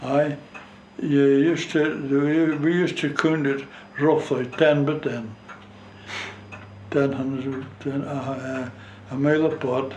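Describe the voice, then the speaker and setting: A man speaks at a very slow pace in a fairly high pitch, with monotone, flat intonation and long, frequent pauses. Audible room echo and noticeable background noise come through on the recording. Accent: strong North East Scottish. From North East Scotland, Gourdon fishing village. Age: 90s. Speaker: war veteran, retired fishing skipper. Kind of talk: oral history interview. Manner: halting, hesitant.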